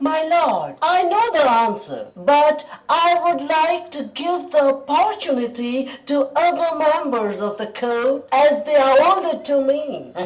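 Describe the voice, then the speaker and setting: A put-on character voice speaks in a high pitch with a playful tone. The pace is fairly slow, with hardly any pauses. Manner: hesitant then playful.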